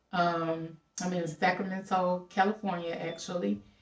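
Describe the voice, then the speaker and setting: A woman speaks at a medium pitch with a strong Southern US accent. Her pace is fairly slow. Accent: strong Southern country. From Louisiana. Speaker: travel vlogger and house-sitter. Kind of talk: casual vlog monologue. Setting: at a house-sit in California.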